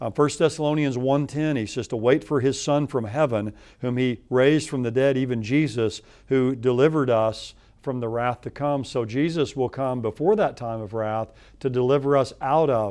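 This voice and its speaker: A man talks at a moderate speed with a quiet background behind him. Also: ordinary pitch variation. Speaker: guest. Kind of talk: interview answer. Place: studio.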